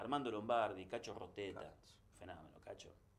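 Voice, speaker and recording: A man speaks in a plain, everyday voice. He goes at a fairly quick pace with ordinary pitch variation. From Argentina, Santa Fe. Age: 60s. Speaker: sports journalist. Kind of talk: interview. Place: studio.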